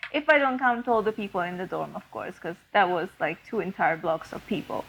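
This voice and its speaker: A woman speaks at a medium pitch. She has a non-native accent. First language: not English. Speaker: podcast co-host. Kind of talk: casual chat. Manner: many fillers and restarts.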